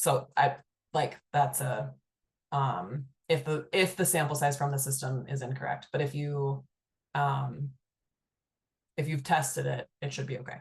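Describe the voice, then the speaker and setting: A woman's very deep, low voice, somewhat breathy, with fairly even intonation, a fairly slow pace and long, frequent pauses. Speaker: state agency presenter. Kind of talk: webinar Q&A. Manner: hesitant, many fillers.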